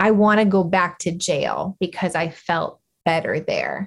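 A woman's fairly low, somewhat breathy voice at a fairly slow pace, with fairly even intonation. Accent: American. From Arizona, rural. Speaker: nonprofit founder, former juvenile correction officer. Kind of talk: interview.

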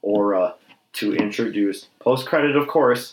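A man's plain, everyday voice at a medium pitch, moderate pace and ordinary pitch variation. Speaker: podcast host. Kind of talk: casual chat. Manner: excitable.

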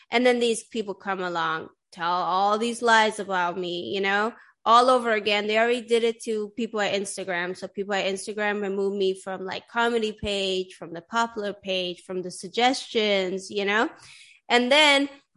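A woman speaks with a bright, sharp tone. The background is quiet. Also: medium pitch for a woman, fairly even intonation, moderate pace. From Sweden. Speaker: podcast host. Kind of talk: casual interview. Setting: video call.

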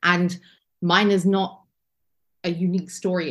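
A woman with an English accent speaks in a fairly low, somewhat breathy voice. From England. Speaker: first-time pilgrim sharing her story. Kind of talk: interview, personal testimony.

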